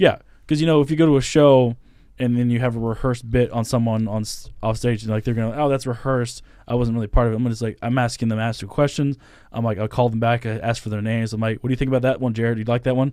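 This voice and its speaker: A man speaks very fast with an American accent, at a medium pitch. His tone is dark and mellow, and the recording is very clean with a silent background. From US South. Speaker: stand-up comedian. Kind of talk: casual chat. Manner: animated.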